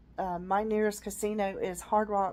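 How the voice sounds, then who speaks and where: In a Southern US accent, a woman speaks fairly slowly at a medium pitch with monotone, flat intonation. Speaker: vlogger. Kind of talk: casual personal vlog. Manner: hesitant, many fillers.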